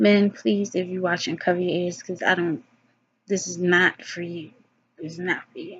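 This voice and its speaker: A somewhat breathy woman's voice, fairly low, with ordinary pitch variation. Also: moderate pace. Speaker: vlogger giving advice to women. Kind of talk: casual monologue vlog. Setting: alone, self-recorded video.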